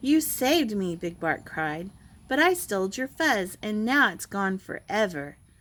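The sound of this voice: The intonation here is lively. It is an unforced reading voice.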